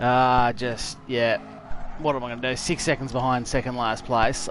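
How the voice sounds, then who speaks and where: A man with an Australian accent speaks at a moderate pace in a medium pitch, with noticeable background noise. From Tasmania, Australia. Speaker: gaming streamer. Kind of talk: live gameplay commentary. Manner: casual, chatty.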